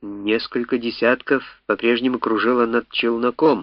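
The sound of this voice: A reading voice that sounds unforced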